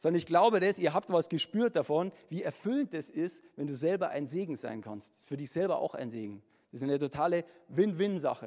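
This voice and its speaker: At a fairly quick pace, a man speaks in a high, warm voice with very wide pitch swings. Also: big swings in loudness. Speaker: preacher; musician and former pastor. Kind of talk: sermon. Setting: church with congregation. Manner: casual, animated, chatty; warm, humorous, conversational.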